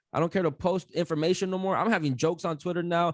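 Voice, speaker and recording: Loud and animated, a man talks at a very fast pace with a high pitch. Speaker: podcaster, guest. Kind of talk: casual chat.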